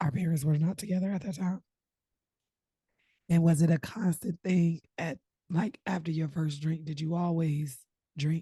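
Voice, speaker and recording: A woman with a dark, mellow, somewhat breathy tone and fairly low pitch speaks at a moderate pace with ordinary pitch variation and long, frequent pauses, in a dry, close sound with no echo. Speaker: podcast host. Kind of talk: casual chat.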